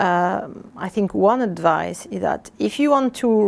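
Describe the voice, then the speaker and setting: A woman with a French accent speaks at a very slow pace. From southern France, Avignon. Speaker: airline executive. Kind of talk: interview. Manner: halting, many fillers.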